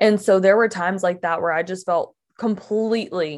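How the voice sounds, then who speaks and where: A woman with an American accent talks in an unremarkable speaking voice at medium pitch, with ordinary pitch variation and a quiet background. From Mississippi, US South. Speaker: podcast guest sharing faith story. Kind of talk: casual chat. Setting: in person at her home.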